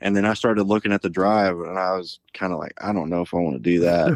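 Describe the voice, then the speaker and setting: A man with an American accent and an unremarkable speaking voice, fairly low in pitch with ordinary pitch variation, a dry, close sound with no echo and a quiet background. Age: 20s. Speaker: waterfowl outfitter co-owner. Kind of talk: casual chat.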